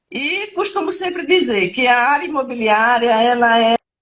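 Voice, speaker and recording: A woman with a northeastern Brazilian accent and very wide pitch swings. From Brazil, Alagoas (Northeast). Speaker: real estate lawyer. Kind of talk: live stream interview. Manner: hesitant, many filler sounds.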